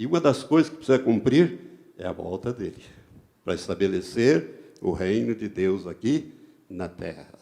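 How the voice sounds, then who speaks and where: Speaking at a moderate pace, a man with a medium pitch and a dark, mellow tone makes very wide pitch swings. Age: 70s. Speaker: pastor. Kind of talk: sermon.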